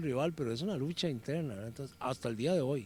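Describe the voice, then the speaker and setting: A man with a Costa Rican accent and lively intonation. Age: 60s. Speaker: former footballer and sports commentator. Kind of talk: interview. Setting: workplace, lawyers' association.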